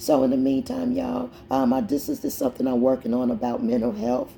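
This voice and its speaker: Noticeable background noise sits behind the speech. A woman talks at a fairly quick pace. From Indianapolis, Indiana. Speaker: poet and mental health advocate. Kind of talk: casual chat.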